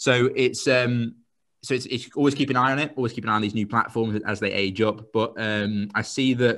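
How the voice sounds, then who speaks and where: Against a quiet background, a man with a southern English accent talks at a fairly quick pace. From England, Royston near Cambridge. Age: 20s. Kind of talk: interview. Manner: fast; animated.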